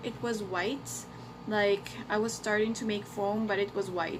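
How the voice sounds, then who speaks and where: With noticeable background noise and audible room echo around her, a woman speaks at a moderate pace. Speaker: beauty vlogger. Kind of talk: product review vlog. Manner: casual, hesitant with fillers.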